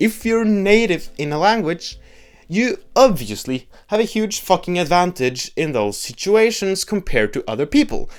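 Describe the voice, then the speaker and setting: A man with a Norwegian accent, high pitch and very wide pitch swings, at a moderate pace on a very clean recording with a silent background. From Norway. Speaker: political video essayist. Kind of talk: video essay monologue. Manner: casual.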